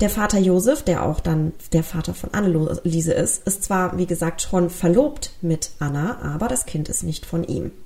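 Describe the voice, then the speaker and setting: A woman's fairly low voice at a moderate pace with hardly any pauses, over music in the background. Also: ordinary pitch variation. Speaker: true crime podcast host. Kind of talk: solo podcast narration. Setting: home recording with pet.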